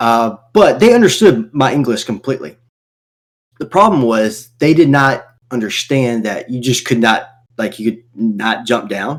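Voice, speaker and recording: A man speaks with a Southern accent. His pitch varies in an ordinary way. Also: medium pitch for a man, fairly slow pace. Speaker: gaming podcast co-host. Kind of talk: casual chat.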